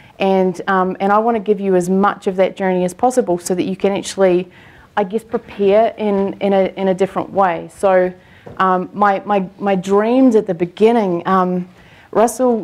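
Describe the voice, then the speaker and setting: A woman with a strong New Zealand accent speaks with fairly even intonation. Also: medium pitch for a woman, moderate pace. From New Zealand, Christchurch. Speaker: coaching client, online business owner. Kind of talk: onstage interview. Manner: halting, many fillers and repeats.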